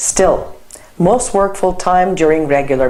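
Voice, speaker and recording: Moderate-paced speech from a woman with a Turkish accent, amid audible room echo and noticeable background noise. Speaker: lecturer. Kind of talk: lecture.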